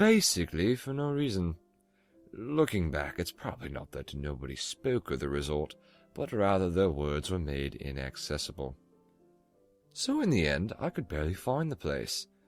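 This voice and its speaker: Music plays in the background as a man speaks in a very deep, low pitch. His pitch swings very widely. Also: moderate pace. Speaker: narrator of scary stories. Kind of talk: horror story narration.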